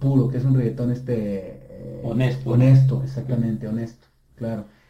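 Somewhat breathy and dark, mellow in tone, a man speaks in a monotone, flat intonation. Audible room echo surrounds his voice. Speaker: rock pop singer. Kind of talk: interview. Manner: halting, many repetitions.

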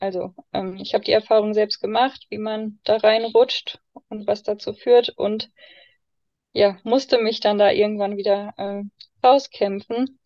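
In a monotone, flat delivery, a woman speaks with a fairly high pitch. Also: fairly slow pace. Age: 20s. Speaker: foster mother and baby course leader. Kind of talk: personal testimony in interview. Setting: in-person recording in a room. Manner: many fillers, hesitant.

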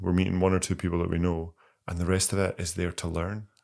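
A man with a Scottish accent speaks at a very deep, low pitch on a very clean recording with a silent background. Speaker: podcast co-host. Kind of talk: casual chat.

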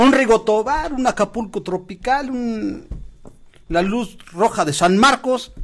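A man's high-pitched voice with lively intonation at a very slow pace, over noticeable background noise. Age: 50s. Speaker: podcast co-host, host's father. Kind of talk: casual chat.

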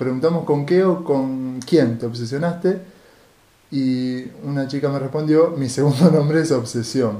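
With a dark, mellow tone, a man talks at a fairly slow pace in a fairly high pitch with ordinary pitch variation. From Argentina, Rosario. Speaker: podcast co-host. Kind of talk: casual chat.

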